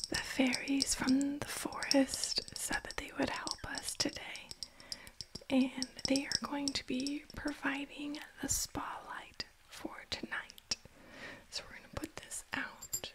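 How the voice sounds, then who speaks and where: The speech is whispered at a very slow pace. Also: woman. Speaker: ASMR roleplay creator. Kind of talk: roleplay ASMR chat. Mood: cheerful, warm. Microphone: studio mic.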